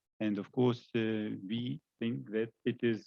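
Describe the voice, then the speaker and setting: Recorded with a dry, close sound and no echo, a man of medium pitch speaks with a Russian accent. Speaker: scientist. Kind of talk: panel discussion. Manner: halting.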